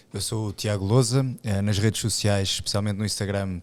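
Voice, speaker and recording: The pace is very fast. The intonation is monotone and flat. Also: man. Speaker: police officer and athlete. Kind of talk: casual chat.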